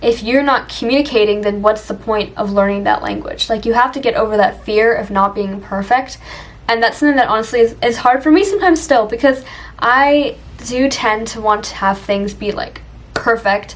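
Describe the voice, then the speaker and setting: A woman at a fairly quick pace, ordinary pitch variation, noticeable background noise around her. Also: fairly high pitch for a woman. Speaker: language learning vlogger. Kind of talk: casual improvised monologue. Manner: casual, filler-heavy.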